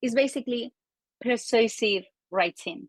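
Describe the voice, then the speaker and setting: In a dry, close sound with no echo, a woman speaks with a non-native accent. Her voice is high, with ordinary pitch variation, at a fairly slow pace. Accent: foreign. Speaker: marketing and copywriting expert. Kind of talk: interview. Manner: animated.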